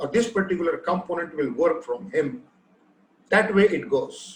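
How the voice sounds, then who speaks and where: A man talks with an Indian accent and lively intonation. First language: Hindi. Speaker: machine translation technologist. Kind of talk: panel discussion.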